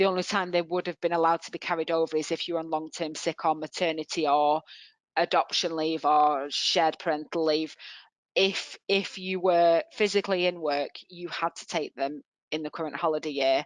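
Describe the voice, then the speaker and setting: In a Mancunian accent, a woman speaks at a moderate pace with monotone, flat intonation and a fairly low pitch. The sound is dry and close with no echo, against a quiet background. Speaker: HR and employment law expert. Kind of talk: webinar Q&A answers.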